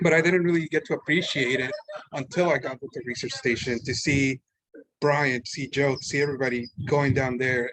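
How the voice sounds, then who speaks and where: The speaker has a Spanish accent. Pitch rises and falls in an ordinary way. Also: man. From Mexico City, Mexico. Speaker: art student. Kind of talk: public talk. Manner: casual, halting.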